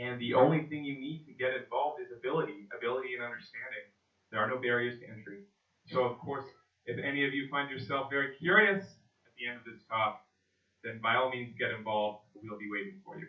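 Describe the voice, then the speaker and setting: At a fairly quick pace, a man speaks in an unremarkable speaking voice, medium in pitch with ordinary pitch variation and big swings in loudness. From Canada, Vancouver. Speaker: conference speaker on blockchain. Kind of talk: conference talk.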